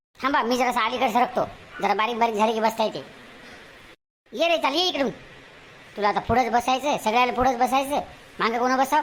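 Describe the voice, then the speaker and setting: Using a cartoonish character voice, a woman speaks with a high pitch at a moderate pace. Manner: argumentative, talks back.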